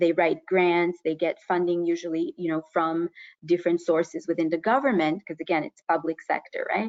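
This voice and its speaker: A woman with an unremarkable speaking voice talks at fairly low pitch. Her pace is moderate and her intonation fairly even. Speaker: university professor and researcher. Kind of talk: webinar presentation. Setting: online webinar.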